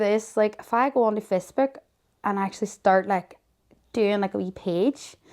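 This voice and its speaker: Heard on a very clean recording with a silent background, a woman speaks at a medium pitch with a Derry accent. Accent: Northern Irish (Derry). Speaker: mother of a child with a serious illness. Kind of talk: interview. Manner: loud; animated.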